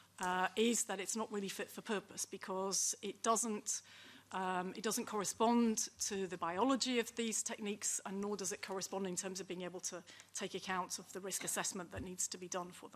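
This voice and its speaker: The woman's delivery has fairly even intonation at a moderate pace. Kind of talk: panel presentation. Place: meeting room. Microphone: podium.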